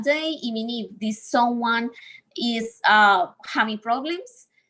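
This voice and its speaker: With a non-native accent, a woman talks at a high pitch in a bright, sharp tone with ordinary pitch variation. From Colombia. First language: Spanish. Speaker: speaker on healing from abusive relationships. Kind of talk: talk in a livestreamed session.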